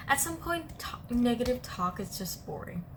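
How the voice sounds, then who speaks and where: A woman's high voice moves in very wide pitch swings against noticeable background noise. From Vietnam. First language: Vietnamese. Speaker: podcast host. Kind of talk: casual chat. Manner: hesitant, many fillers.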